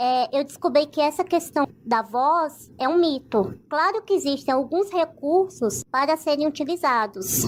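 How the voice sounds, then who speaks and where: Her voice sits high, and its rise and fall is ordinary. She talks at a moderate speed. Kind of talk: interview testimony.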